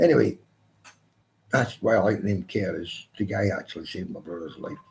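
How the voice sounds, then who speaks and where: With a Glaswegian accent, a man talks at a fairly quick pace, his pitch swinging very widely. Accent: Glaswegian Scottish. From Scotland, Glasgow. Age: 60s. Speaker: live stream host. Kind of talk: casual chat. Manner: halting.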